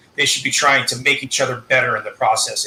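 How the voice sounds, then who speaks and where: A man talks at a fairly quick pace while noticeable background noise carries on behind him. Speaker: political discussion guest. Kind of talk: live discussion. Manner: fast.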